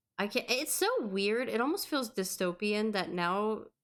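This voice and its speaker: A woman with a slight Southern US accent talks at a moderate pace and a medium pitch. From US South. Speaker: podcast co-host. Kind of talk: casual chat.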